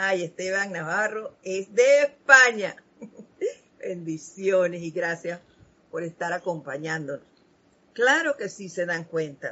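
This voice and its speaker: Long, frequent pauses in a woman's very slow speech. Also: medium pitch for a woman, big swings in loudness. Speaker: spiritual program host. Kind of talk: spiritual talk.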